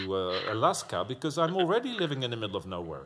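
Words come at a fairly quick rate from a man. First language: not English. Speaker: podcast host. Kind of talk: casual chat. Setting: remote call.

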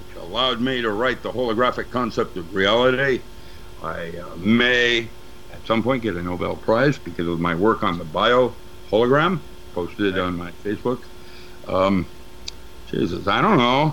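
Noticeable background noise sits behind a man speaking with lively intonation. He leaves long, frequent pauses. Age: 70s. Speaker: metaphysics teacher and paranormal researcher. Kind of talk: casual interview. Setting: remote call. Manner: rambling, halting.

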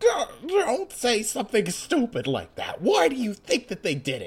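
Moderately paced and fairly high-pitched, a put-on character voice. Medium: read story. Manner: bossy, shouting.

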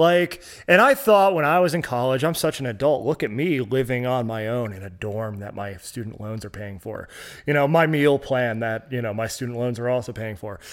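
Using a plain, everyday voice, a man speaks at medium pitch and a moderate pace with lively intonation and big swings in loudness, on a very clean recording with a silent background. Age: 30s. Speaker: music collective founder. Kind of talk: casual chat.

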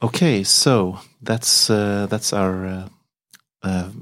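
Speaking with a Swedish accent, a man talks at a very slow pace. His pitch is fairly low and his intonation fairly even. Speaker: podcast host. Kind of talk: interview.

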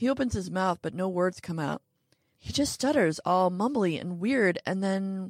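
It is a natural reading voice heard against a quiet background.

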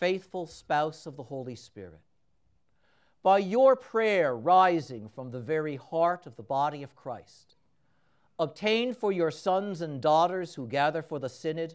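Against a quiet background, a man with an unremarkable speaking voice speaks fairly slowly, his fairly high pitch carried by lively intonation. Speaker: priest. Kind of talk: fervent prayer at Mass. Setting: church during Mass. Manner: solemn, earnest, devotional; measured, reverent pace.

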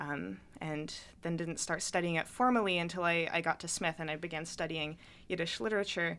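On a very clean recording with a silent background, a woman talks at a fairly quick pace. She has a normal speaking voice, a fairly low pitch and ordinary pitch variation. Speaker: college student and playwright. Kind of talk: interview. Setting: studio.

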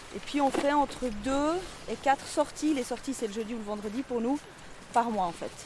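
Noticeable background noise accompanies a woman with a high pitch. She speaks at a moderate pace with ordinary pitch variation. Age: 40s. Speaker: social educator. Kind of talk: casual conversation while walking. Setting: outdoors, walking in forest. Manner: hesitant, many fillers.

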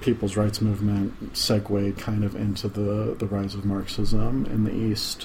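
A man speaks quietly at a fairly low pitch. Noticeable background noise is present. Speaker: podcast host. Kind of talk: casual chat. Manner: low, quiet talker.

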